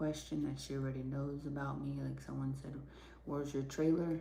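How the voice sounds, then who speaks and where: A soft-spoken woman at a moderate pace, with audible room echo. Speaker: livestreamer. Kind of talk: casual chat.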